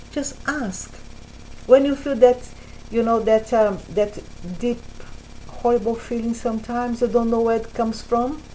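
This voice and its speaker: A woman with a Portuguese accent speaks at a moderate pace in a fairly high pitch, her intonation fairly even and broken by long, frequent pauses. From Brazil. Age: 60s. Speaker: spiritual vlogger. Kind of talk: casual talk to camera. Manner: halting, with repetitions.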